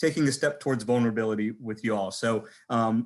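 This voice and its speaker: A man speaks at a medium pitch with an American accent and fairly even intonation, at a fairly quick pace. His is a plain, everyday voice, set against a quiet background. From southern California. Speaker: physician. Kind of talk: panel presentation.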